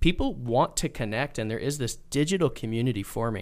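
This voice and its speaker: A man with a normal speaking voice talks at a fairly quick pace. His pitch is medium, with ordinary variation. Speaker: podcast host. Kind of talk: casual interview conversation.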